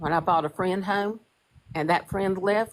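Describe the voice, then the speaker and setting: A woman with a plain, everyday voice. Her pitch is fairly low, with ordinary variation. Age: 60s. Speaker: paralegal. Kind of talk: testimony. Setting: social media live.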